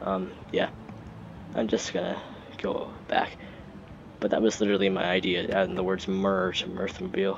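Over noticeable background noise, a man talks at a moderate pace with long, frequent pauses, a fairly low pitch and monotone, flat intonation. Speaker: gaming YouTuber. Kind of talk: casual gameplay commentary. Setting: home recording with PC mic. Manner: halting, filler-heavy.

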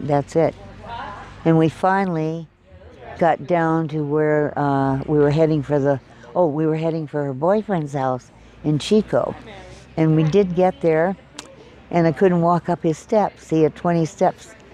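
A woman with a very deep, low pitch speaks at a fairly slow pace, leaving long, frequent pauses. Light background noise sits behind her. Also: fairly even intonation, dry sound with no echo. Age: 80s+. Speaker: wildfire survivor, former actress. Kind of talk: interview answer. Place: hall.

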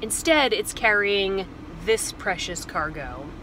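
Noticeable background noise sits behind a woman's voice, which sounds dry with no echo. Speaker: van life vlogger. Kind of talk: casual vlog chat. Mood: frustrated but composed. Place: car. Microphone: phone near.

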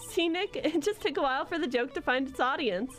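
A man talks very fast in a strained, put-on character voice while music plays clearly behind him. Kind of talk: comic overacting. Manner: jokey, showman.

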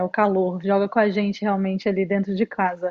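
A woman talks at a fairly quick pace. Behind her, the background is quiet. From Brazil. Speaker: volleyball player; guest. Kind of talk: casual chat. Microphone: earbuds.

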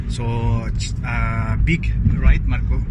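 Loud noise fills the background as a man talks. The audio is dry and echo-free. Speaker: vlog co-host. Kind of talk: casual vlog chat. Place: car. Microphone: phone near.

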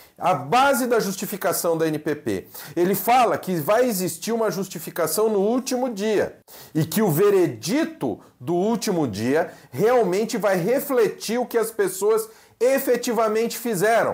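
Lively intonation carries a fairly slow pace over a quiet background. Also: man, high pitch for a man. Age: 40s. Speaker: pastor and theology teacher; pastor, seminary teacher. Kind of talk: lecture. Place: home room. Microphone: lapel.

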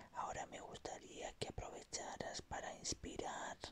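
A man is whispering. His pace is very slow. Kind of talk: ASMR relaxation roleplay for sleep. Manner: calm, gentle, soothing.

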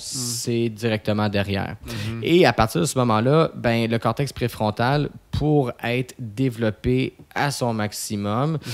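A man talks at a fairly slow pace with ordinary pitch variation. Faint music plays in the background. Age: 30s. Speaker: posturologist; podcast guest. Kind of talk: casual interview. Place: studio. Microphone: studio mic.

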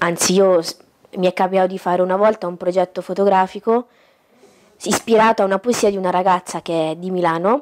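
A woman talks at a fairly quick pace with fairly even intonation and long, frequent pauses. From Italy, Umbria (Gualdo Tadino); Umbria, Italy. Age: 20s. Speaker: photographer; interview guest. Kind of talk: talk show interview. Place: home room.

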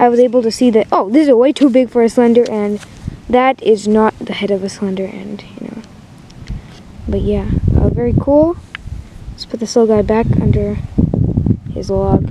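A woman talks at a moderate pace, with long, frequent pauses. The sound is dry with no echo, and background noise is noticeable. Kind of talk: casual field commentary. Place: open country.

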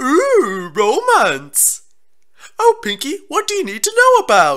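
In a put-on character voice, a woman speaks at an extremely high pitch. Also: fairly slow pace. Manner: excited, squealing.

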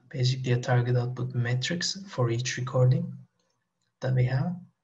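The man's voice is somewhat breathy, and the background is quiet. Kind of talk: lecture. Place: home room. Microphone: headset.

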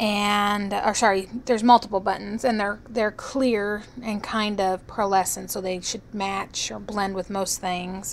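At a very slow pace, a woman speaks in a fairly high pitch with monotone, flat intonation. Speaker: product reviewer. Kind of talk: product review to camera. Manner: hesitant, with stutters and pauses.

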